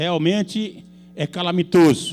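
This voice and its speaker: This man's voice sits high in pitch. He is a man speaking with a high pitch for a man. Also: very clean recording, silent background. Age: 70s. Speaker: city councillor. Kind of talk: public hearing speech. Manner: animated.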